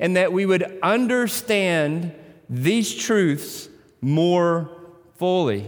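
In a Tennessee accent, the speaker uses lively intonation, with audible room echo. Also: man. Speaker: pastor. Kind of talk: sermon.

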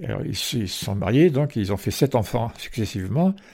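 Somewhat breathy speech with lively intonation on a very clean recording with a silent background. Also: man. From Provence, France (Marseille and Porquerolles). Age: 80s+. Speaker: retired island resident, former lifeboat coxswain. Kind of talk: interview. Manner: halting, with repetitions.

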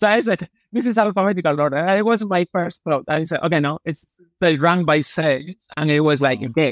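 Delivered at a fairly quick pace with ordinary pitch variation, the voice sounds dry and close with no echo. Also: man, high pitch for a man. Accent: Spanish. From Malaga, Spain. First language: Spanish. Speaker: novelist. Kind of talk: interview.

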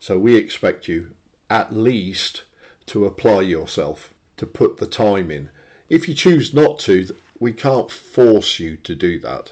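Speaking very slowly, a man uses a medium pitch that swings very widely. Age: 60s. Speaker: engineer and spiritual group member. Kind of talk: casual conversation. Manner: halting.

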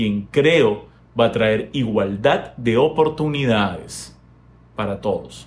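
This is a man speaking. His medium pitch shows ordinary variation. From Peru. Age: 40s. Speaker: YouTuber. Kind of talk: opinion monologue. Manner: hesitant fillers.

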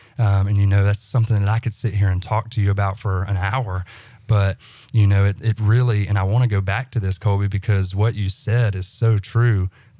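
A man's fairly low, somewhat breathy voice with a Southern US accent, flat and monotone at a fairly quick pace. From US South, central Alabama. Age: 20s. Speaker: guest sharing faith testimony. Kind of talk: testimony. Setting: studio. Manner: halting, many fillers.

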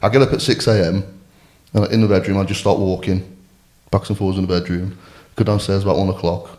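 A man with a West Midlands accent speaks at a fairly quick pace in a very deep, low pitch, his tone dark and mellow and his intonation monotone and flat. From Shropshire, England. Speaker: amateur rugby player. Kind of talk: personal testimony in casual interview.

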